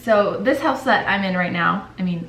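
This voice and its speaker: The speech comes at a moderate pace with audible room echo. Noticeable background noise is heard too. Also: woman. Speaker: stay-at-home mom vlogger. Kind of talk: casual vlog talk to camera. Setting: at home in kitchen. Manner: casual, filler-heavy; whispering at start.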